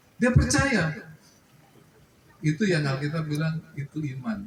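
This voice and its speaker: This is a man talking. His pitch is fairly high. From Java, Indonesia. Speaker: official speaker at cooperative meeting. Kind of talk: formal address at annual members meeting. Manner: blunt, outspoken.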